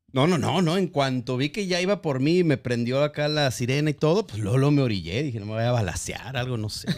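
A man with a plain, everyday voice talks at a fairly quick pace, his medium pitch carried by lively intonation. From Guadalajara, Mexico. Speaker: podcast host. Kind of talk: casual chat.

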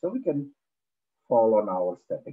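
A man's fairly low voice with a slightly husky edge, moderate pace and big pitch swings

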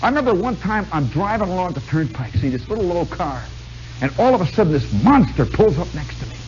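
A man's voice over faint background music. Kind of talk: storytelling monologue to live audience. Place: stage. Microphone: old recording.

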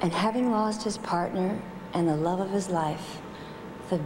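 Over noticeable background noise, a woman talks at a moderate pace with a fairly low pitch and fairly even intonation. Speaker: presenter. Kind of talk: tribute speech. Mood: warm, playful. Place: hall. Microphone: podium.

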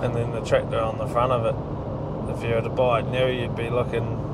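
Moderate pace over loud background noise. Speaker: agricultural contractor. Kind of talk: interview answer. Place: car. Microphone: lapel.

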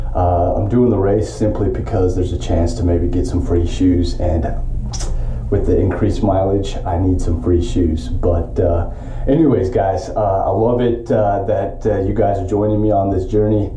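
A man with a fairly low pitch and ordinary pitch variation talks at a moderate pace, his loudness very even. Light background noise and audible room echo are present. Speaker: triathlete vlogger. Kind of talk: casual vlog chat. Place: home room. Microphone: phone near.

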